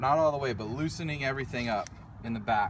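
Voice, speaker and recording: A man's voice, dry with no echo, against noticeable background noise. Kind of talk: tutorial. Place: open country. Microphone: phone near.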